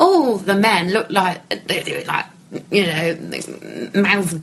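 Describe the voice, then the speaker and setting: A woman talks with a northern English accent over noticeable background noise. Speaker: cruise ship pianist and entertainer. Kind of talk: casual interview. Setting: audio interview.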